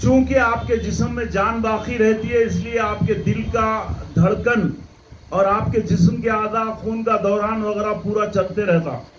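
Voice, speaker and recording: A man speaks at a high pitch with fairly even intonation. There is audible room echo and noticeable background noise. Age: 70s. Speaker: Islamic preacher. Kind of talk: religious lecture.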